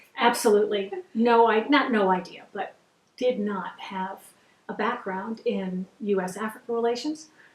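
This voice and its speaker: A woman's fairly high-pitched voice carries fairly even intonation. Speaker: former defense official and women's advocate. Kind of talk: interview. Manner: fast; intense.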